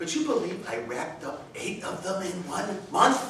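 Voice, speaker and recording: A man's pitch swings very widely against light background noise and audible room echo. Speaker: contest speaker. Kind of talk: humorous speech. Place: hall. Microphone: camera far.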